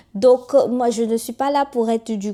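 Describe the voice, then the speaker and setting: The voice has a dark, mellow tone. It speaks with a Togolese accent. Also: woman, very clean recording, silent background. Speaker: YouTuber and author. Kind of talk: casual monologue to camera. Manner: animated.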